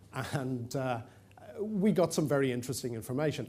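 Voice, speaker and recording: An Irish accent from a man at a moderate pace, medium-pitched and dark and mellow in tone, with audible room echo. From Ireland, Dublin. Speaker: conference presenter. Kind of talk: conference presentation. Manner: hesitant with fillers.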